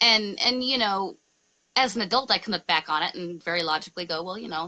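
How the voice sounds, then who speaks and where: With a bright, sharp tone and lively intonation, a woman speaks at a medium pitch and a fairly quick pace. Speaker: spiritual ministry host. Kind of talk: casual interview conversation. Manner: dramatic, theatrical.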